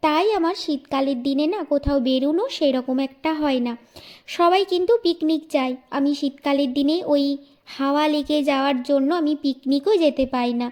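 Her voice is high-pitched, and this woman varies her pitch in an ordinary way. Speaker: lifestyle vlogger. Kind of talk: vlog voiceover. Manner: chatty.

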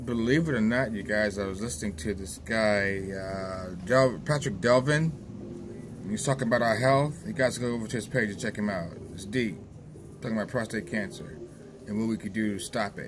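Noticeable background noise accompanies a man speaking at a fairly low pitch. His pace is moderate and his intonation lively. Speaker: vlogger. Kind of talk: casual vlog monologue. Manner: rambling, repetitive, stumbling. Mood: reminiscing, relaxed. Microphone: phone near.

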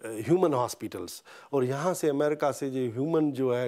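A man's dark, mellow tone with ordinary pitch variation, over a quiet background. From Pakistan. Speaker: veterinarian; interviewee. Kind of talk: interview. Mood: earnest, calm. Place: home room. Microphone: lapel.

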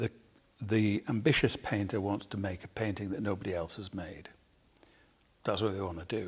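A man with a fairly low, somewhat breathy voice speaks at a moderate pace. He leaves long, frequent pauses, and his intonation is fairly even. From South Manchester, England; England. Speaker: painter; interviewee. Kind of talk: public conversation. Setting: artist's studio with live audience. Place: workshop.

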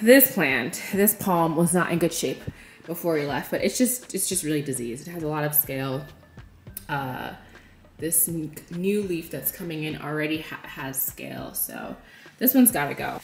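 A woman's very deep, low voice at a moderate pace, with big swings in loudness, audible room echo and faint music in the background. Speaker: lifestyle vlogger. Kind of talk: casual vlog chat. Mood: cheerful, reflective. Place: home room. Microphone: phone near.

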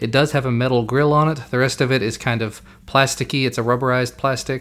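A man's fairly bright tone at a fairly quick pace, with fairly even intonation

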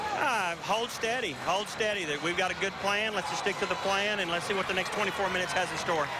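Over loud background noise, with a dry sound and no echo, a high-pitched man speaks at a fairly quick pace with fairly even intonation and hardly any pauses. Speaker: high school football coach. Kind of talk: coach's interview and locker room talk; halftime interview answer. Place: stadium. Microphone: handheld.

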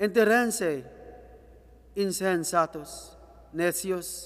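Very slowly, a man speaks at a high pitch with ordinary pitch variation. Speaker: lector reading scripture. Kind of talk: reading aloud. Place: church.

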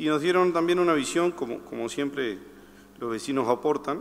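A man's fairly high-pitched voice with ordinary pitch variation and vocal fry. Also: moderate pace.

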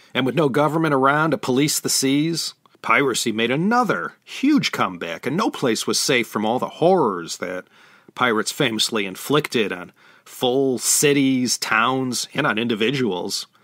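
A man speaks in a plain, everyday voice with a medium pitch and lively intonation. The recording is very clean, with a silent background. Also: moderate pace. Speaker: podcast host and China historian. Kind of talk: history documentary narration. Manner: measured, storytelling; informal, upbeat.

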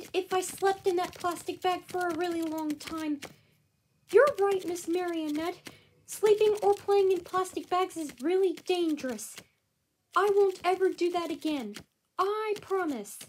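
A cartoonish character voice with an extremely high pitch comes through over light background noise. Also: moderate pace. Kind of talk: puppet show dialogue. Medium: puppet show. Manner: cheerful, innocent.

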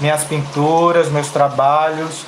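A man's fairly high-pitched voice at a moderate pace, monotone and flat, over noticeable background noise. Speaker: fabric painting teacher. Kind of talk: live painting tutorial. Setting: live stream.

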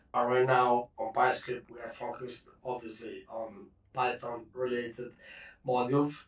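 A man speaks at a fairly slow pace in a monotone, flat intonation. His loudness swings widely. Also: medium pitch for a man. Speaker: developer. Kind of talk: technical explanation.

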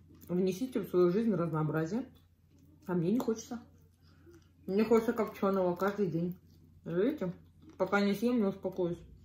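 At a moderate pace, a woman speaks with a dark, mellow tone, a somewhat breathy quality, ordinary pitch variation and long, frequent pauses, with audible room echo. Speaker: eating vlogger. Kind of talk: casual vlog chat while eating. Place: home room. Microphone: phone near.

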